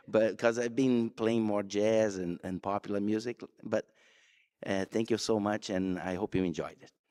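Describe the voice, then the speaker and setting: On a very clean recording with a silent background, a man speaks with a fairly low, dark, mellow voice in a dry, close sound with no echo. His intonation is flat and monotone, his pace moderate, and his loudness swings widely. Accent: Brazilian Portuguese. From Brazil, Rio de Janeiro. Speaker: guitarist. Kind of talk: spoken introduction at concert. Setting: church concert with audience.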